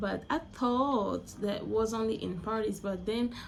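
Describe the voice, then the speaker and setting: A woman's somewhat breathy voice, fairly high in pitch. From Angola. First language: Portuguese. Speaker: vlogger. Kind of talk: casual monologue vlog. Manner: halting, with frequent self-corrections.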